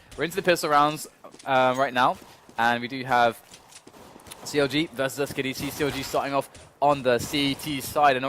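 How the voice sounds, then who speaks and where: Against noticeable background noise, a man with a fairly high pitch speaks at a fairly quick pace with fairly even intonation and long, frequent pauses. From British. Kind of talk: esports broadcaster, play-by-play. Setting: broadcast.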